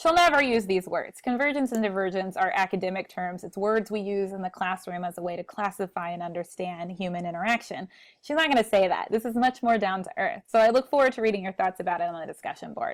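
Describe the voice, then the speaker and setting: A woman with an American accent at a very fast pace, with hardly any pauses and ordinary pitch variation, over a quiet background. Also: big swings in loudness. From Texas. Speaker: college speech instructor. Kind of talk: recorded lecture. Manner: conversational. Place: home room. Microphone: earbuds.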